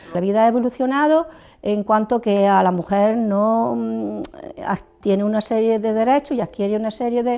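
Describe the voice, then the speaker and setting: Her pitch is fairly high for a woman, with ordinary variation and a dark, mellow tone. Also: moderate pace. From Andalusia, Almería province (from Galicia until age 7). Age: 70s. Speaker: retired teacher. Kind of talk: interview testimony. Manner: halting, with frequent fillers.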